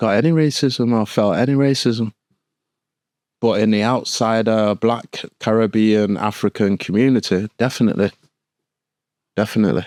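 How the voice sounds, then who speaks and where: A man speaks at a moderate pace and medium pitch, with fairly even intonation, very even loudness and long, frequent pauses. The recording is very clean, with a silent background and a dry, close sound with no echo. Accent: Manchester. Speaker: former firefighter. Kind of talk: interview. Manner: halting, many fillers.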